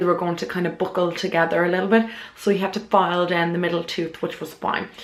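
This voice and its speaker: In an Irish accent, a woman speaks at medium pitch with monotone, flat intonation. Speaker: beauty vlogger. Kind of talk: casual vlog talk to camera.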